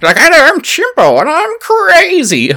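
Someone performs a put-on character voice. The pitch sits extremely high. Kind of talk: dumb, goofy. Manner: silly, dopey.

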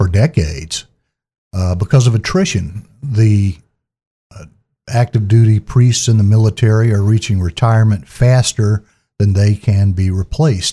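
A man's fairly low, dark, mellow, somewhat breathy voice at a moderate pace, with ordinary pitch variation and a dry, close sound with no echo. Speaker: public affairs officer, podcast host. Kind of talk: interview.

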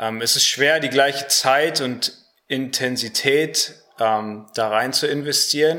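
Here a man talks at a very slow pace. His intonation stays fairly even. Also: medium pitch for a man. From Germany (Harsewinkel, Gütersloh district). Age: 20s. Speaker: Bible school student. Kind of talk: radio interview. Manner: hesitant, many fillers.

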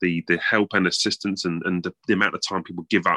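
A man speaks at a low pitch and a fairly quick pace, with a bright, sharp tone. The sound is dry and close, with no echo.

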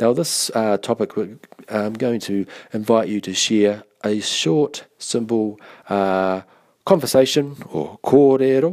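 Slowly, very slowly, a man speaks at a medium pitch with ordinary pitch variation. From New Zealand, Taranaki. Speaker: Māori language course tutor. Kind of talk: online course podcast tutorial. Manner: hesitant, many fillers.

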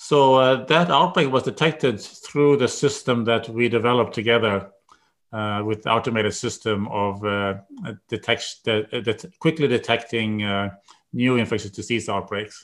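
A man talks in a Swedish accent at a moderate pace. His pitch is medium, with ordinary variation. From Sweden. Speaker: epidemiology professor. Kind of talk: interview. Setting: video call.

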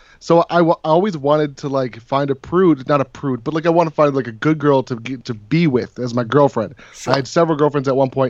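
A man talks at a fairly quick pace with fairly high pitch. He has an unremarkable speaking voice and ordinary pitch variation. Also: hardly any pauses. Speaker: vape reviewer and channel creator. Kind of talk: casual livestream panel chat.

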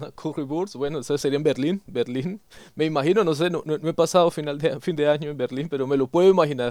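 The recording is very clean, with a silent background. A man speaks very fast at a fairly high pitch with ordinary pitch variation. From Colombia, Yopal, Casanare (llanos region). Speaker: podcast host. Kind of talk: interview.

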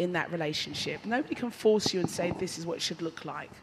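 A woman's somewhat breathy voice rises and falls with lively intonation. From London. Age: 50s. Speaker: church youth speaker. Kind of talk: panel talk to teenage girls.

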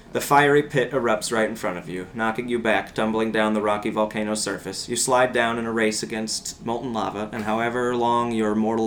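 There is noticeable background noise, and the speech runs on with hardly any pauses. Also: man. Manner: animated, theatrical, playful, switching into a motherly voice and mock-ominous tone.

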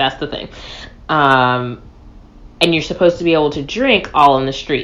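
Speech at a moderate pace with ordinary pitch variation and long, frequent pauses. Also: woman, very deep, low pitch for a woman. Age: 20s. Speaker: podcast co-host. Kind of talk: casual chat.

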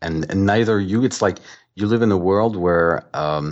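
Speaking at a fairly slow pace, a man uses a very deep, low voice with ordinary pitch variation. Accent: French. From France. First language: French. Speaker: author. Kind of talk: interview.

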